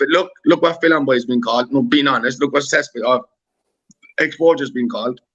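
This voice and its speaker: Talking at a very fast pace with a Cork accent, a man sounds animated, with ordinary pitch variation. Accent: Irish (Cork). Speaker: YouTuber on a live panel. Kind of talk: heated live-stream debate.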